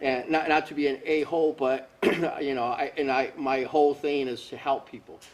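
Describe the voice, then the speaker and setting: At a moderate pace, the speaker delivers the words in a flat monotone over noticeable background noise. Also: man, fairly high pitch for a man. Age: 50s. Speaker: fitness product inventor. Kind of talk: casual interview. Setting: warehouse.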